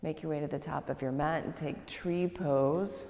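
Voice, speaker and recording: Her voice has vocal fry and ordinary pitch variation. The woman talks at a fairly slow pace. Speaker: yoga instructor. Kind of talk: class instruction cues. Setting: yoga studio, live class. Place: gym.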